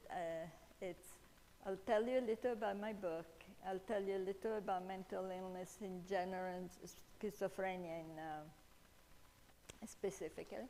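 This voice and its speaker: A woman with a dark, mellow tone speaks at a moderate pace with fairly even intonation and long, frequent pauses. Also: medium pitch for a woman. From Italy. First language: Italian. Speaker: author and speaker on mental illness. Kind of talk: talk at church event. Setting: church hall, seated before audience, live-streamed. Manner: halting, many fillers.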